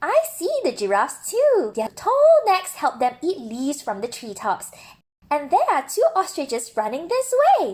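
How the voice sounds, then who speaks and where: A woman puts on a character voice with a high pitch. Her pitch swings very widely. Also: moderate pace. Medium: read story. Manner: clear, explanatory.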